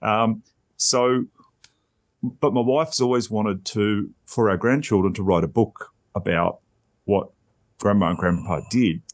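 Fairly slow speech with an Australian accent, ordinary pitch variation, long, frequent pauses and a quiet background. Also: man, fairly low pitch for a man. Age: 50s. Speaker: podcaster. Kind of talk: casual chat.

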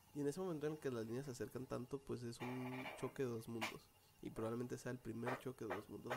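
A man with a medium pitch delivers fairly even intonation at a very fast pace. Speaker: podcast co-host. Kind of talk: casual chat.

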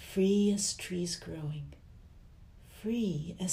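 Quiet whispering in a gentle, soothing tone unfolds at a very slow pace. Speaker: sleep-story narrator. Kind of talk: slow bedtime poetry reading for sleep. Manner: slow, quiet, soothing delivery; gentle whisper on the repeats.

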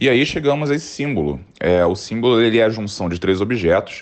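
His intonation is lively. The man keeps a fairly quick pace. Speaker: designer and illustrator. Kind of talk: prepared explanation.

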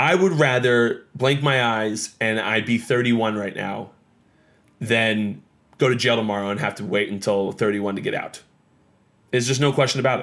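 With an American accent, an unremarkable speaking voice goes at a moderate pace, its pitch varying in an ordinary way. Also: man, medium pitch for a man. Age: 30s. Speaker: podcast host, former baseball pitcher. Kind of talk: casual solo podcast talk. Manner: casual, filler-heavy.

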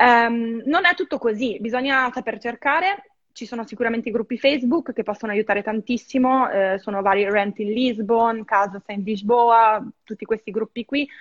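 This woman has a fairly high pitch and ordinary pitch variation. Her voice sounds dry and close, with no echo. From northern Italy, Verona. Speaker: expat guest, film restorer. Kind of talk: casual interview. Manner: fast, hesitant with fillers.

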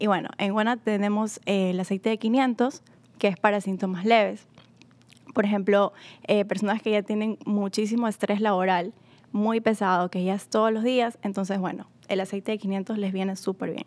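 A woman's medium pitch in a monotone, flat intonation at a moderate pace, on a very clean recording with a silent background. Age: 20s. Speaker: sales and customer advisor. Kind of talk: casual promotional chat.

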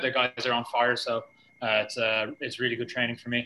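A man with a Dublin accent speaks at medium pitch in a bright, sharp tone. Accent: Irish (Dublin). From Ireland. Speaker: jiu-jitsu coach and athlete. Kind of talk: casual interview.

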